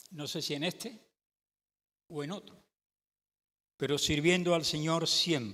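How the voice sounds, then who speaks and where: A man's fairly high, bright, sharp voice with vocal fry, at a fairly slow pace with long, frequent pauses and ordinary pitch variation. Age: 70s. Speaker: pastor. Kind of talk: sermon. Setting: church.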